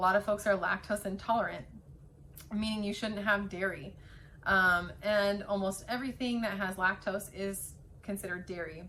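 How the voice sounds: A woman uses a put-on character voice at a medium pitch. It sounds raspy and moves at a moderate pace.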